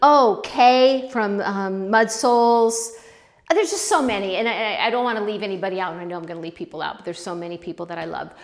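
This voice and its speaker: A woman with a fairly high pitch talks at a very fast pace over noticeable background noise. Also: lively intonation. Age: 60s. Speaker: pottery youtuber. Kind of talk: casual vlog talk to camera. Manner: hesitant, many fillers and restarts.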